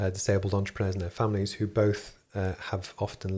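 A man speaks at a fairly quick pace in a fairly low pitch, his tone dark, mellow and somewhat breathy. The recording is very clean, with a silent background. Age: 40s. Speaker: engineer and business founder. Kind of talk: interview.

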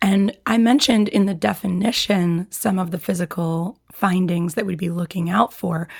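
A woman talks at a moderate pace with fairly low pitch and vocal fry. Her intonation stays fairly even.

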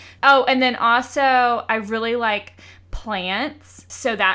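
A woman with a Southern US accent speaks very slowly in a high-pitched, bright, sharp voice. The recording is very clean, with a silent background. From US South, Georgia. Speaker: podcast co-host. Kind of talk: casual chat.

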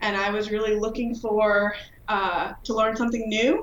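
At a moderate pace, a woman with an American accent speaks at a medium pitch in a monotone, flat intonation. Noticeable background noise and audible room echo fill the recording. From Virginia. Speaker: professor of pharmacology, hearing researcher. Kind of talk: interview.

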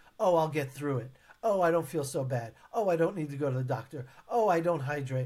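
Here a man talks at a moderate pace with a fairly high pitch. His voice is somewhat breathy, and his intonation is lively. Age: 50s. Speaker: leadership trainer and keynote speaker. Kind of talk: interview.

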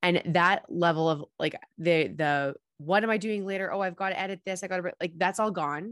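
A woman with a plain, everyday voice speaks at a moderate pace with ordinary pitch variation. The sound is dry and close with no echo, over a quiet background. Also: medium pitch for a woman. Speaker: podcast host. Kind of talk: casual interview chat.

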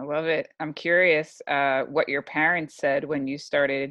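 The speaker talks at a moderate pace in an American accent, the intonation monotone and flat. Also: woman. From New York, US. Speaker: podcast host, service academy graduate. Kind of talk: interview.

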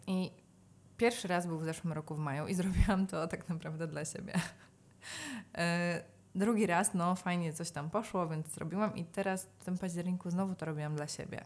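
Speaking at a fairly quick pace, a woman with a fairly low pitch keeps her intonation fairly even while her loudness swings widely, on a very clean recording with a silent background. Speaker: yoga, meditation and breathwork teacher. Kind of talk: casual interview.

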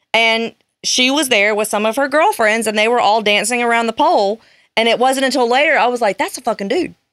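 The delivery is animated in tone and fairly quick, with ordinary pitch variation and very even loudness. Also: woman, fairly high pitch for a woman. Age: 30s. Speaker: podcast guest. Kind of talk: casual chat.

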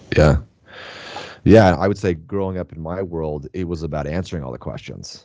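A man with an American accent speaks with vocal fry and ordinary pitch variation. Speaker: podcast host. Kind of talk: casual interview chat.

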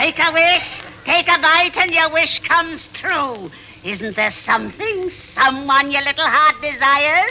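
In a cartoonish character voice, someone speaks at a high pitch with lively intonation and a moderate pace amid clear background noise. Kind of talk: 1930s radio cartoon villainy. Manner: wheedling, gloating.

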